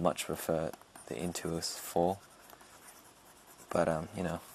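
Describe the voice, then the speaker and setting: A man speaks fairly slowly in a very deep, low pitch with monotone, flat intonation. Noticeable background noise sits behind him. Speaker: digital artist. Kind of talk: screen-recorded drawing tutorial narration.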